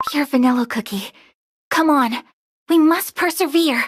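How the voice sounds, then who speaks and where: A put-on character voice pitched high. It moves at a moderate pace. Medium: video game. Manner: earnest, protective.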